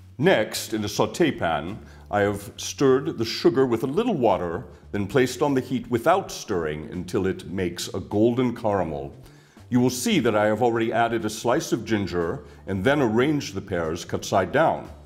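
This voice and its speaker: A man with an American accent, moderate pace and very wide pitch swings. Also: medium pitch for a man. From US Midwest, Ohio. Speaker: chef. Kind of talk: scripted cooking demonstration. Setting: kitchen.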